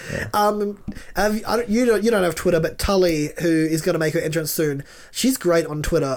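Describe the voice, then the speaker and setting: The man speaks with a high pitch and ordinary pitch variation. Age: 20s. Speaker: podcast co-host. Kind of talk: casual chat.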